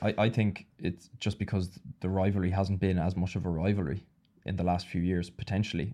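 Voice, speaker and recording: A man with an Irish accent speaks in a very deep, low pitch and a dark, mellow tone, monotone and flat. His pace is fairly quick, and the recording is very clean with a silent background. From Ireland. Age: 30s. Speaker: former professional rugby player. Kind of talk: casual chat. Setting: studio.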